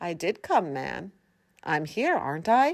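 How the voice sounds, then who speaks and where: At a moderate pace, a woman performs a put-on character voice with a fairly low pitch. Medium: read story.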